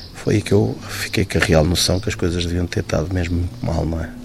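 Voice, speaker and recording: A man with a very deep, low pitch and ordinary pitch variation talks at a fairly quick pace over noticeable background noise. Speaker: firefighter, accident survivor. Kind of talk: interview testimony.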